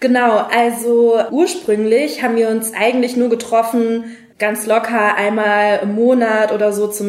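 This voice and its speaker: Amid noticeable background noise and audible room echo, a woman with a fairly high pitch speaks with fairly even intonation. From Germany, Frankfurt am Main. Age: 20s. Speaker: diplomat. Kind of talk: interview. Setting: studio.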